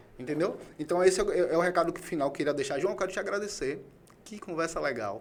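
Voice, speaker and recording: A man with a Bahian accent talks very fast in a high voice. Noticeable background noise is present. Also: ordinary pitch variation. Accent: Bahian accent, noticeable to locals. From Bahia, Brazil (Salvador). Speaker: podcast host. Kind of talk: casual interview chat. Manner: animated, conversational.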